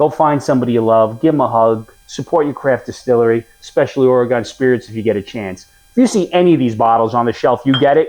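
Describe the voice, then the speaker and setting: Speaking in a New York accent, a man keeps a medium pitch, ordinary pitch variation and a moderate pace. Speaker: whiskey reviewer. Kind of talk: product review. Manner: casual, conversational.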